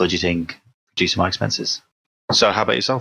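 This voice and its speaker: With a British accent, a man speaks in a very deep, low pitch. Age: 20s. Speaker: podcast co-host. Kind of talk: casual chat.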